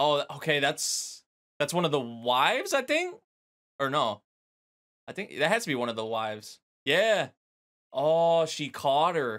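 In an animated tone, a man with a fairly high pitch speaks at a fairly slow pace with lively intonation and long, frequent pauses against a quiet background. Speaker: anime reaction youtuber; anime reactor. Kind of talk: casual reaction commentary. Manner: animated, laughs often. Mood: amused, excited.

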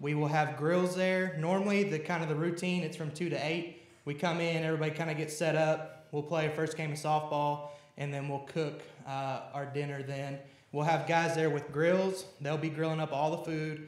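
A man with a fairly high pitch speaks in a monotone, flat way at a moderate pace. Audible room echo is present. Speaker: church youth leader. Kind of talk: church announcements. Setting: church. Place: church. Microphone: podium.

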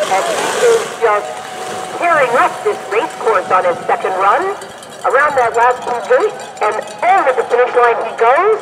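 Over noticeable background noise, a man speaks at an extremely high pitch and a fairly slow pace. His tone is animated and upbeat, with very wide pitch swings. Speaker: race announcer. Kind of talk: live race commentary. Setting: outdoors at ski race course. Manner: animated, upbeat play-by-play, praising each skier as they cross the finish.

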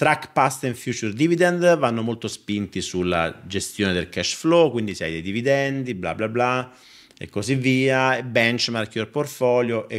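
A man talks at a fairly slow pace. The background is quiet. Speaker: finance streamer. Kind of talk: live stream product review chat. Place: home room. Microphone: studio mic.

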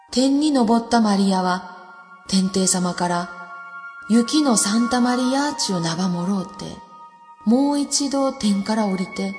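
A woman speaks at a fairly slow pace with lively intonation and a fairly high pitch, music playing in the background. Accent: Nagasaki. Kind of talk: folk tale storytelling.

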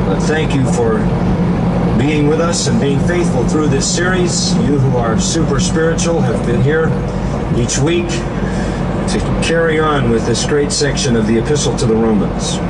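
Loud background noise sits behind a man talking. He moves at a fairly slow pace with ordinary pitch variation. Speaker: Bible teacher. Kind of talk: sermon.

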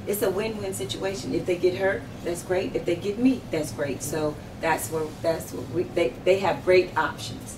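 Over noticeable background noise, a woman speaks at a fairly low pitch and a moderate pace with lively intonation. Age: 50s. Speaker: sheriff candidate; candidate. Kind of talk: interview. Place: office.

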